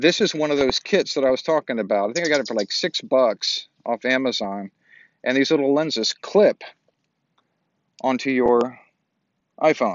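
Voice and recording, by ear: A man's medium-pitched voice at a moderate pace, with long, frequent pauses and a dry, close sound with no echo. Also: lively intonation.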